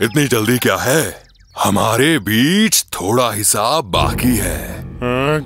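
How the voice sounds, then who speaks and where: A man's cartoonish character voice at a medium pitch and a very slow pace. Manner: menacing, mocking; rough, bossy.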